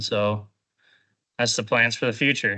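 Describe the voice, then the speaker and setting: A man speaks at a moderate pace with an Upper Midwest accent. His tone is bright and sharp, and the background is quiet. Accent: Upper Midwest American. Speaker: carpentry apprentice graduate. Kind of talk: graduation speech to class. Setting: classroom with audience. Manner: casual, hesitant.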